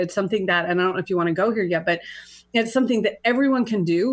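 A woman speaks very fast at a medium pitch, her voice somewhat breathy. Her intonation is lively, and the background is quiet. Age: 50s. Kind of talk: casual chat.

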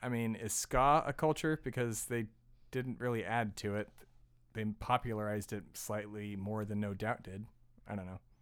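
In a very clean recording with a silent background, a man speaks in an ordinary speaking voice at a moderate pace, his fairly low pitch held in fairly even intonation. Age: 30s. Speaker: podcast host and producer. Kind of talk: casual chat.

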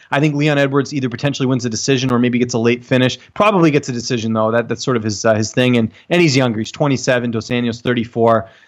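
A man with a Canadian accent talks at a very fast pace with hardly any pauses, at medium pitch and with ordinary pitch variation. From Canada. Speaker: MMA journalist. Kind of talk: casual chat.

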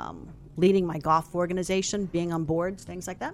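This is a woman with a normal speaking voice. Her pitch is medium and her pace is moderate. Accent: American. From Falls Church, Virginia. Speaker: marketing company founder. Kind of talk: interview.

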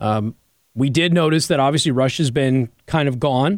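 A man speaks at a medium pitch in an ordinary speaking voice, with ordinary pitch variation and a moderate pace. The recording is very clean, with a silent background. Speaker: radio host. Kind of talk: talk radio show. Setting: studio.

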